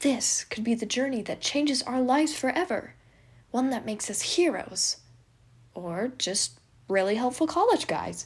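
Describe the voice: Putting on a character voice, a woman speaks at a fairly slow pace with a fairly high pitch, lively intonation and a slightly husky edge.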